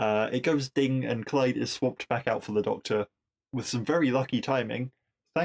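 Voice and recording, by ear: Reading aloud in a natural voice, with ordinary pitch variation over a quiet background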